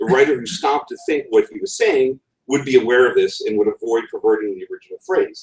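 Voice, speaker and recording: A man with a New England accent at a fairly quick pace. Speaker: conference speaker. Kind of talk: talk. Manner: hesitant, many fillers.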